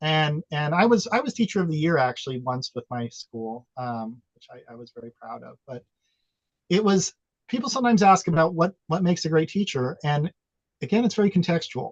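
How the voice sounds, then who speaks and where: Speaking at a fairly quick pace with an American accent, a man swings widely in pitch and greatly in loudness, the sound dry and close with no echo. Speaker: former teacher, social innovation speaker. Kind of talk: panel discussion. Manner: animated.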